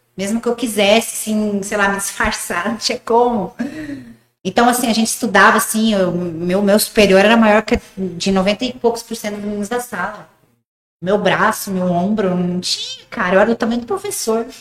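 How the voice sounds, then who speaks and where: A woman with an unremarkable speaking voice talks at a moderate pace, with a fairly high pitch and fairly even intonation. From rural Paraguay, Brazilian family. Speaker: gym owner and former bodybuilder. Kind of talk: casual interview. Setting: studio.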